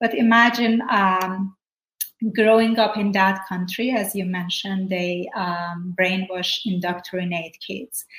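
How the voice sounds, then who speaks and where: A woman with a Persian accent speaks at a very slow pace in a medium pitch with fairly even intonation. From Iran. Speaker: former prisoner and evangelist. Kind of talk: interview testimony.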